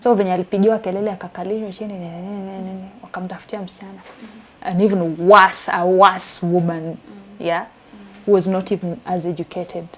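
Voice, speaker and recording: At a fairly quick pace, a woman of medium pitch speaks in a monotone, flat way over noticeable background noise. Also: big swings in loudness. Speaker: survivor of gender-based violence, interview guest. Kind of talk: interview answer, personal testimony.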